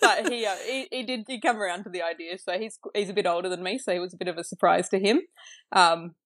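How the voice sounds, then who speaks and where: A woman with an Australian accent speaks very fast on a very clean recording with a silent background. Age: 30s. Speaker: new mother sharing birth story. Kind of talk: casual interview. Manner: hesitant, lots of fillers.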